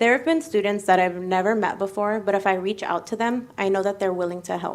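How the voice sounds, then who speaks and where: A woman speaks with an American accent and ordinary pitch variation. Her pace is very fast. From United States. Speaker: medical student. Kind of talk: speech. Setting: ceremony.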